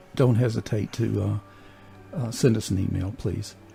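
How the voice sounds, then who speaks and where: A man talks at a fairly slow pace as music plays in the background. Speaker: radio show host. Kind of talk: casual radio talk.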